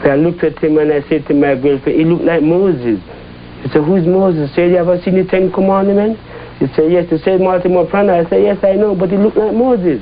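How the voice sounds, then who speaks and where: Speaking at a fairly quick pace and a fairly high pitch, a man is heard over noticeable background noise. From Jamaica. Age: 60s. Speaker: Rastafarian settler. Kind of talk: interview testimony.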